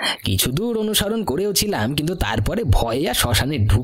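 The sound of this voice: The reading voice here is unforced.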